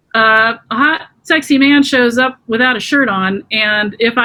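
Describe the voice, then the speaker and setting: Her pitch is high. This woman's voice rises and falls in an ordinary way. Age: 50s. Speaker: trauma healing practitioner. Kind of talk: interview. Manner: conversational, many fillers.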